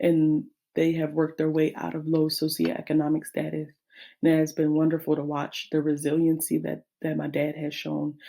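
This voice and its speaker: A woman speaks at a moderate pace in a very deep, low voice with a dark, mellow tone. Her intonation is monotone and flat, in a very clean recording with a silent background. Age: 20s. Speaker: teacher and graduate student. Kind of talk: class presentation. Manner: halting.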